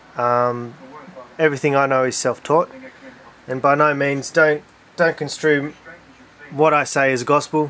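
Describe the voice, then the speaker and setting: A man with an Australian accent speaks fairly slowly at a fairly high pitch. His delivery is monotone and flat, broken by long, frequent pauses. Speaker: hobbyist video maker. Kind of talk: casual vlog monologue. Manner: halting, many fillers.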